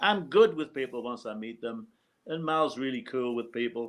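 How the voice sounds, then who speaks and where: Over a quiet background, a man with a northeast English accent talks with very wide pitch swings. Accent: British (northeast English). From northeast England, Hartlepool. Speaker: former roadie and tour manager. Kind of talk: casual interview chat.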